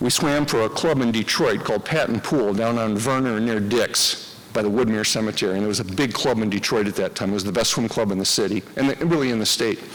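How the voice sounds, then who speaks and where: With a Michigan accent, a man talks fairly quickly at a medium pitch with ordinary pitch variation. His loudness stays very even, and background noise is noticeable. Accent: Midwestern US (Michigan). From Michigan, Dearborn. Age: 60s. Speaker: hall of fame inductee, former swimmer. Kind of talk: acceptance speech.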